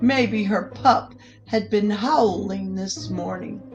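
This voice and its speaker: A woman's very slow speech with music playing in the background. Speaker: storyteller. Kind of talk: children's picture book read-aloud.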